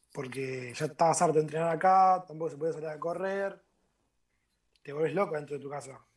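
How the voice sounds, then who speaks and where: At a fairly quick pace, a man uses an ordinary speaking voice at a fairly high pitch in a very clean recording with a silent background. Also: fairly even intonation. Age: 20s. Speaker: footballer. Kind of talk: casual chat.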